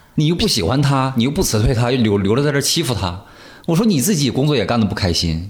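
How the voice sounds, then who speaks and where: The speech comes at a very fast pace with very wide pitch swings and very even loudness. The voice is somewhat breathy, and room echo is audible. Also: man, medium pitch for a man. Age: 30s. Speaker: actor. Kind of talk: casual chat.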